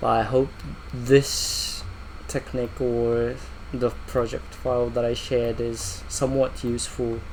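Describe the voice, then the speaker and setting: This man's delivery is fairly slow. Background noise is noticeable throughout. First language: not English. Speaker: VFX artist. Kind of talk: software walkthrough. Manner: halting, with fillers.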